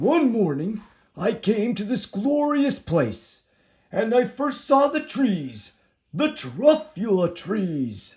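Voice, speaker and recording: In a put-on character voice, a man speaks at a high pitch with very wide pitch swings. His pace is very slow. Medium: read story.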